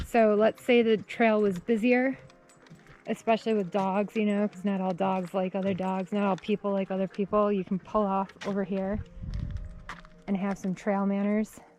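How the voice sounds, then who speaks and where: Music plays in the background as a woman with a Wisconsin accent speaks at a moderate pace. Her medium pitch stays in monotone, flat intonation. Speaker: vlogger. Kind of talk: casual vlog narration. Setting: outdoors on a trail. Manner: casual, chatty.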